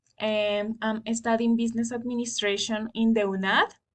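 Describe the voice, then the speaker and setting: At a moderate pace, a woman with a fairly high voice sounds somewhat breathy. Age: 20s. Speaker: student. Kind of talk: class assignment presentation. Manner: halting.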